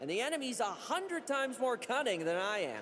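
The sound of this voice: At a moderate pace, a man performs a put-on character voice pitched extremely high, with big pitch swings and a fairly bright tone.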